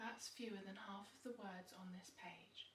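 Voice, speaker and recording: The speaker is soft-spoken. Words come at a fairly slow pace. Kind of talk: bedtime story reading.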